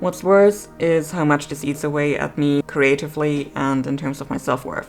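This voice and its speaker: A woman with a non-native accent speaks at a moderate pace. Music plays in the background. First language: not English. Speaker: artist and vlogger. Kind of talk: scripted voiceover vlog.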